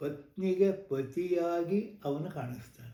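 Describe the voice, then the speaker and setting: A man with a dark, mellow tone talks in a space with audible room echo. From Karnataka, Malenadu (Thirthahalli area). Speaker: Yakshagana artist and scholar. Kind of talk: interview. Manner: measured, explanatory.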